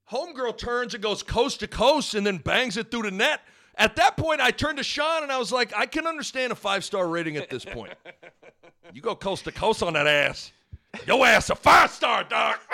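A man with an American accent, extremely high-pitched and raised, projected, with a bright, sharp tone, very wide pitch swings and a moderate pace. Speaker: podcast host.

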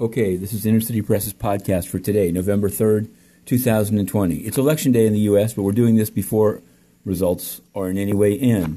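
Speaking at a fairly quick pace, a man uses a fairly low pitch and a dark, mellow tone. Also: very clean recording, silent background. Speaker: podcast host and reporter. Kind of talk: angry rant. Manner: indignant, accusatory, hammering each charge.

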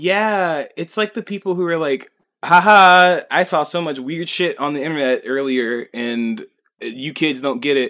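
A man speaks slowly-ish, at a fairly slow pace, in a fairly high pitch. His tone is animated, bright and sharp, with lively intonation. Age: 30s. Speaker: podcast co-host. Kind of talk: casual chat.

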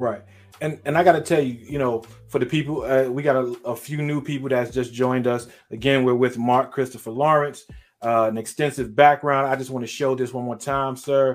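Music plays in the background as a man talks at a fairly quick pace. His voice sits at a medium pitch with fairly even intonation. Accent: American. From Brooklyn, New York. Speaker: podcast host. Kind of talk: casual interview. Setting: video call.

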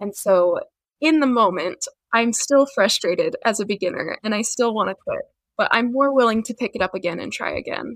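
A woman's plain, everyday voice, fairly high-pitched, at a fairly quick pace with ordinary pitch variation, in a dry, close sound with no echo. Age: 20s. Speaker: fiber artist and small business owner. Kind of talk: casual interview.

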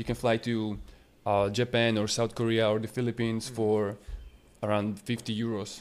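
In a Slovak accent, a man speaks at a moderate pace with medium pitch and monotone, flat intonation. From Slovakia, small town. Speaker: web designer and entrepreneur. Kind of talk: casual interview.

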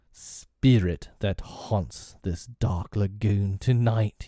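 Putting on a character voice, a man speaks at a very slow pace and a fairly low pitch. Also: very clean recording, silent background. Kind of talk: theatrical villain in a storybook reading. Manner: passionate, grandiloquent, old-fashioned speech.

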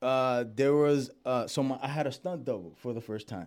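In a very clean recording with a silent background, a man speaks at a moderate pace with an American accent. He has an ordinary speaking voice at a medium pitch. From Dominican heritage, New York. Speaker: actor. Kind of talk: casual chat.

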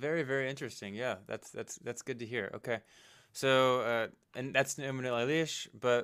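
A normal speaking voice from a man, pitched in the middle range, at a moderate pace. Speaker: podcast host. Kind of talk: interview. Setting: remote call.

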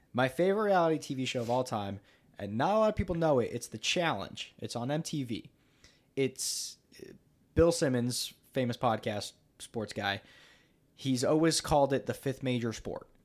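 A man with a normal speaking voice at medium pitch talks at a moderate pace on a very clean recording with a silent background. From United States. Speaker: content creator and podcaster. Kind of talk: casual chat.

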